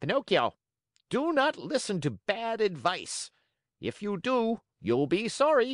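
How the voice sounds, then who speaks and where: A put-on character voice with a fairly high pitch, spoken at a fairly slow pace. The background is quiet. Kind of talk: admonishing. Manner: sharp, clear, warning.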